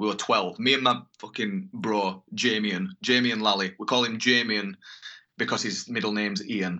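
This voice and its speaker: A man with a Yorkshire accent talks at a medium pitch with ordinary pitch variation. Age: 20s. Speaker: metal band guitarist. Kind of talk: casual chat.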